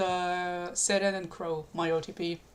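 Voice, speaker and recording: A woman speaks at a medium pitch with a non-native accent. The recording is very clean, with a silent background. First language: not English. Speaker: streamer. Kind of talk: live stream chat. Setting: live stream. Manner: halting.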